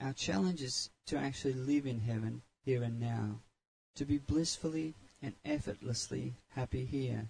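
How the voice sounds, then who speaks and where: Medium in pitch and somewhat breathy, a man speaks at a moderate pace with ordinary pitch variation. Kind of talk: guided meditation.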